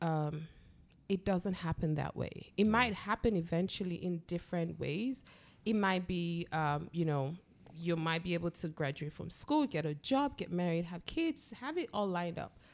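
In an ordinary speaking voice, a woman with a fairly low pitch talks at a moderate pace with lively intonation. The recording is very clean with a silent background. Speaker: filmmaker. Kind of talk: casual chat.

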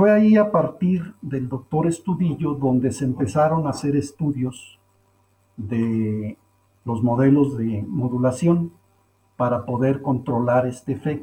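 Fairly slow and somewhat breathy, a man speaks in a dark, mellow tone at a fairly high pitch with lively intonation. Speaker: poultry science professor and researcher. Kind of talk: interview, expert explanation.

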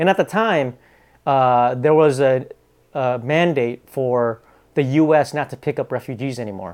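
On a very clean recording with a silent background, a man with a Pacific Northwest accent speaks at a fairly high pitch with ordinary pitch variation. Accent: American (Pacific Northwest). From Bellingham, Washington (Vietnamese refugee family). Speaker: entrepreneur. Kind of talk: casual chat.

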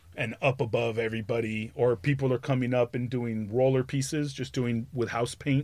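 A man with an ordinary speaking voice talks at a moderate pace with fairly even intonation and hardly any pauses. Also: medium pitch for a man. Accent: American. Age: 50s. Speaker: graffiti artist. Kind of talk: casual chat.

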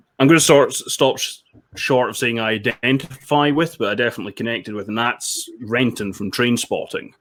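In a Scottish accent, a man speaks at a moderate pace with a bright, sharp tone, medium pitch and ordinary pitch variation. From Scotland, Dundee. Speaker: film critic. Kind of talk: casual chat.

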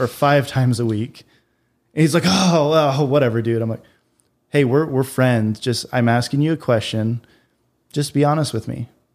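With an American accent, a medium-pitched man talks at a moderate pace with ordinary pitch variation in a plain, everyday voice. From Utah and Idaho, US. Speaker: real estate investor. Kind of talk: casual chat.

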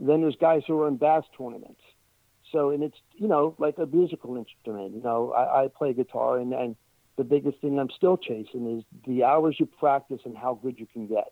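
A man with an American accent speaks at a fairly quick pace, his voice fairly high with ordinary pitch variation. His loudness swings widely. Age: 60s. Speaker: paranormal investigator. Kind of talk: interview. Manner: halting.

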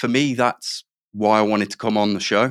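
In an English Midlands accent, a man speaks at a fairly low pitch with fairly even intonation. The recording is very clean with a silent background, dry and close with no echo. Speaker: managing director. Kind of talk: interview.

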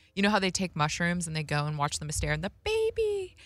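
A woman with an American accent, music in the background. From Las Vegas, Nevada. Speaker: comedian. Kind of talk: casual chat. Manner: halting, many fillers.

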